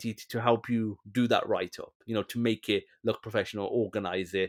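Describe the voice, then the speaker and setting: Here is a man with a plain, everyday voice at medium pitch. He speaks at a fairly quick pace. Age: 30s. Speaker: podcast host. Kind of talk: interview.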